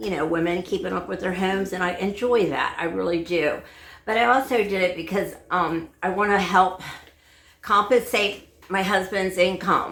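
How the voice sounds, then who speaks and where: With audible room echo, a woman speaks at a moderate pace and medium pitch, her pitch varying in an ordinary way. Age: 70s. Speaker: home cleaning vlogger. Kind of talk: casual vlog talk. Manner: halting, many fillers.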